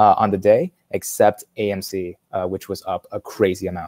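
Dark and mellow in tone, a man's fairly low voice moves at a moderate pace. The sound is dry and close, with no echo. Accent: American. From Chicago. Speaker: investing content creator. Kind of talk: casual interview chat.

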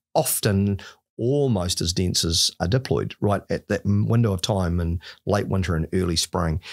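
A man with a very deep, low pitch speaks at a moderate pace with lively intonation against a quiet background. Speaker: guest. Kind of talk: podcast interview explanation. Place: studio. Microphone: studio mic.

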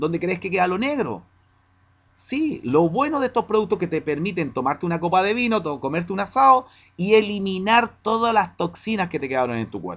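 High-pitched and fairly quick, a man speaks. His pitch swings very widely. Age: 40s. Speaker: fitness coach selling nutrition products. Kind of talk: promotional Q&A monologue. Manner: direct address, conversational. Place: home room. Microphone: webcam.

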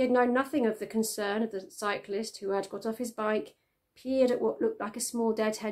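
The clip is plain reading aloud over a quiet background.

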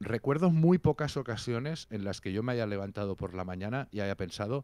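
With a fairly low pitch, a man talks at a moderate pace in an animated tone and lively intonation, in a dry sound with no echo against a quiet background. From Catalonia. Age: 40s. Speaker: music critic and musician; interview guest, journalist. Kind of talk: casual interview. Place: home room. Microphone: handheld.

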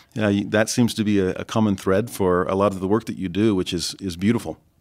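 On a very clean recording with a silent background, an unremarkable speaking voice goes at a fairly quick pace, its pitch varying in an ordinary way. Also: man. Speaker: interviewer professor. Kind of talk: interview.

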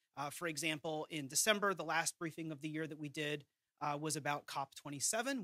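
Against a quiet background, a man's bright, sharp tone comes through dry and echo-free, with ordinary pitch variation. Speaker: presenter. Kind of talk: briefing presentation. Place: hall. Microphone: podium.

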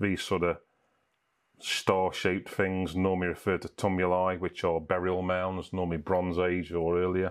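A man with a very deep, low pitch talks in a monotone, flat intonation at very even loudness against a quiet background. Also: moderate pace. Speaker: hiking YouTuber. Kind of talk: tutorial. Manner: casual, hesitant with fillers. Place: home room.

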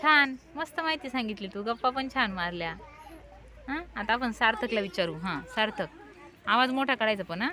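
With lively intonation and a fairly high pitch, a woman talks in a normal speaking voice. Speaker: teacher. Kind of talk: classroom questioning of young pupils. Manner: encouraging, coaxing.

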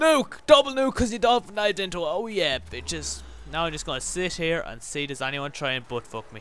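A man in an Irish accent, high-pitched, at a fairly quick pace, with very wide pitch swings and big swings in loudness. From Ireland. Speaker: gaming YouTuber. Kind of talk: live gameplay commentary. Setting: home recording with microphone. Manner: animated.

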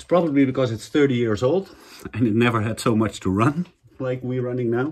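This is a man speaking. He keeps a moderate pace. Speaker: home renovation vlogger. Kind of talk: casual vlog chat. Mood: relieved, slightly worried. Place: kitchen. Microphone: phone near.

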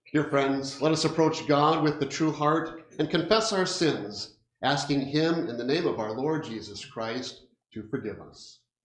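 A man at a fairly slow pace, with big swings in loudness and audible room echo. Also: ordinary pitch variation. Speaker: pastor. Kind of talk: liturgical speech and prayer. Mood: solemn, measured. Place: church.

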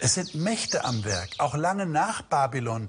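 A somewhat breathy man speaks at a fairly slow pace, his pitch swinging very widely. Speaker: presenter. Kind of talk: sermon-like presentation. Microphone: lapel.

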